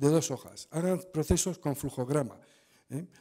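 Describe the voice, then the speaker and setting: Over a quiet background, a dark, mellow voice moves at a fairly quick pace with lively intonation. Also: man. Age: 60s. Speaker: auditor; conference presenter. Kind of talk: conference talk. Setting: stage with audience. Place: hall. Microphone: podium.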